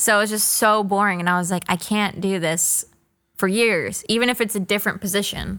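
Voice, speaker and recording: At a fairly quick pace, a woman with an American accent speaks in a bright, sharp tone at medium pitch, her intonation fairly even. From Florida. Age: 20s. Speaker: entrepreneur. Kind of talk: casual chat.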